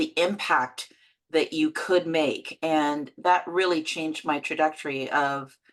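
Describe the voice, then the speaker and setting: A woman with a Canadian accent and an unremarkable speaking voice talks at a fairly low pitch. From London, England, then Canada from age 12. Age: 60s. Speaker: actor and producer. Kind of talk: interview.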